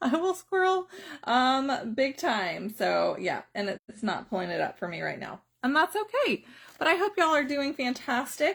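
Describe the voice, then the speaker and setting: Very wide pitch swings mark this moderate-paced delivery with a Southern US accent. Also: woman, high pitch for a woman. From US South, South Carolina. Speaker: direct sales trainer. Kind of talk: live stream training. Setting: Facebook live video.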